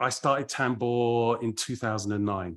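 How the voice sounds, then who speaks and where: A man with a London accent against a quiet background. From London, England. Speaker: party founder and DJ curator. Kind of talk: casual interview chat.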